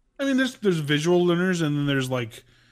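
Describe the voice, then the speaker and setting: On a very clean recording with a silent background, a man talks very fast with lively intonation. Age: 30s. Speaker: podcast co-host. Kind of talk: casual chat.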